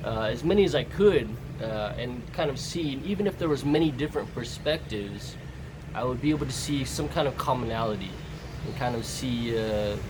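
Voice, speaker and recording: A man with an American accent speaks at a medium pitch with lively intonation. Audible room echo and noticeable background noise surround his voice. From Southern California, US. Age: 30s. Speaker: vlogger. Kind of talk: casual monologue. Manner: halting, many fillers.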